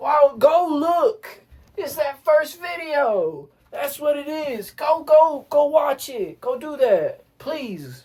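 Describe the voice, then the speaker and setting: Her voice is high, with an American accent, and she speaks very slowly. The woman's loudness swings widely. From US South. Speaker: music teacher. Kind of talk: tutorial.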